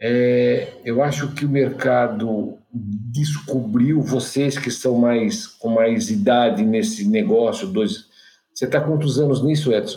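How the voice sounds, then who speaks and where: Somewhat breathy and dark, with a mellow tone, a man's medium-pitched voice moves at a very slow pace. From São Paulo city, Brazil. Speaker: physician and entrepreneur. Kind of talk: casual interview.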